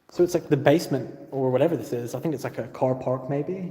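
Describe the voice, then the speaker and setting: This man's fairly high voice is somewhat breathy, with a dark, mellow tone, ordinary pitch variation and a fairly quick pace. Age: 30s. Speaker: urban explorer vlogger. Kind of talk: live stream vlog. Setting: abandoned motel. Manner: casual.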